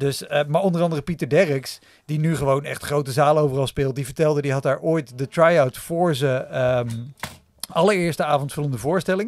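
A man with a plain, everyday voice speaks at a fairly quick pace, his pitch fairly high. His pitch variation is ordinary, and the sound is dry with no echo. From Netherlands. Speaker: stand-up comedian and podcaster; podcast guest, comedian. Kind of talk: casual chat. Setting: studio. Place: home room. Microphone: studio mic.

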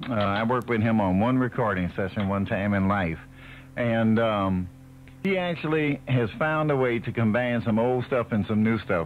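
A man with an American accent keeps a moderate pace, very even loudness, and ordinary pitch variation over light background noise. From Chicago. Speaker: radio DJ. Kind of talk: radio DJ patter. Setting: radio broadcast recorded off air. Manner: friendly, humorous. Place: studio. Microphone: old recording.

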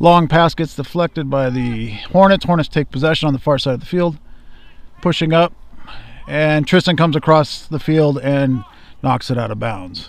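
Relaxed male speech at a moderate pace, ordinary pitch variation, dry sound with no echo. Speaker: high school soccer commentator. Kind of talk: live commentary. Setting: outdoors at a soccer field, streaming live. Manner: relaxed, conversational, casual asides between plays. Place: stadium. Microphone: camera far.

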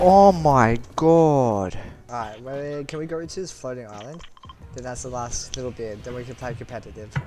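A man talks at a moderate pace and medium pitch, his intonation lively and his loudness swinging widely. Noticeable background noise can be heard. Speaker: gaming YouTuber. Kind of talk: gameplay commentary. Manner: quiet; excited. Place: home room. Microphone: headset.

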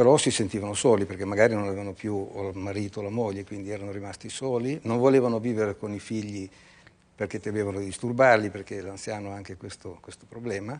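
At a very fast pace, a man with fairly low pitch speaks in fairly even intonation. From Italy. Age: 60s. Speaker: entrepreneur; guest. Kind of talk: TV interview. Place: studio. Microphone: lapel.

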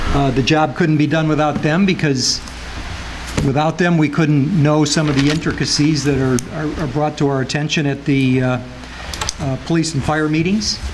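A man with an American accent at a fairly high pitch and moderate pace, with very even loudness, fairly even intonation and noticeable background noise. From US Midwest. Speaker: civil service commission president. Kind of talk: city council meeting. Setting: public meeting at a microphone. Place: meeting room.

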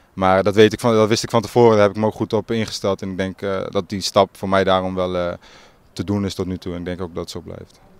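The speech runs at a very fast pace in a monotone, flat intonation, with a dry sound and no echo. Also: man, very deep, low pitch for a man. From Groningen province, Netherlands (Marum); Groningen, Netherlands. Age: young. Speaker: football player, team captain. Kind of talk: interview. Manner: halting. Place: open country. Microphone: handheld.

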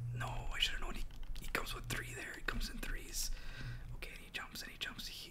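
A man whispering at a fairly quick pace, with big swings in loudness. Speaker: gamer. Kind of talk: casual gaming commentary to camera. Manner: relaxed, conversational.

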